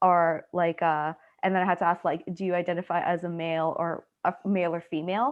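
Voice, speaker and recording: A woman's medium-pitched, ordinary speaking voice at a moderate pace. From Canada, Trinidadian family. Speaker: graduate student researcher. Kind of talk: panel Q&A answer.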